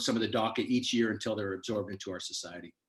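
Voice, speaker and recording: A man's voice of medium pitch. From California, Fresno area. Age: 60s. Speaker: congressional candidate. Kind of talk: candidate forum answers. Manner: emphatic.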